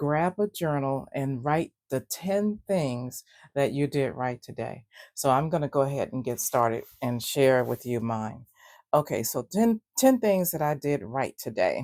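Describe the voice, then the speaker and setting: Speaking fairly slowly with lively intonation, a woman has a very deep, low pitch and a dark, mellow tone, recorded very cleanly over a silent background with a dry, close sound and no echo. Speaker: gratitude journaling vlogger. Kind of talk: casual talk to camera. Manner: sleepy, rambling.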